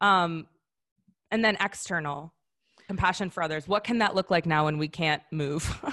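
With an American accent, a woman speaks at a fairly low pitch in a bright, sharp tone. Her pace is moderate, her intonation fairly even, and her pauses long and frequent. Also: quiet background. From US Midwest, Wisconsin. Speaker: founder and wellness coach. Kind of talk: webinar presentation. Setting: online webinar.

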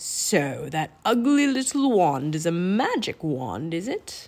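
Slow and slightly mellow, a woman's put-on character voice sits fairly low in pitch and makes big pitch swings.

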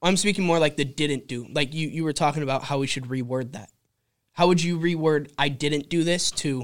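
A man with an American accent speaks at a fairly quick pace in a normal speaking voice. His pitch is fairly high, with ordinary pitch variation. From California. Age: 20s. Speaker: realtor. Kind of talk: casual chat. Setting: studio.

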